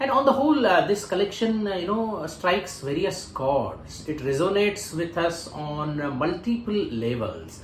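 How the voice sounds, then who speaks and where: A man with a Sindhi accent speaks at a moderate pace in a high pitch, swinging very widely in pitch with hardly any pauses. Background noise is noticeable and room echo is audible. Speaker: literary interviewer. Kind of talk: interview. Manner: formal.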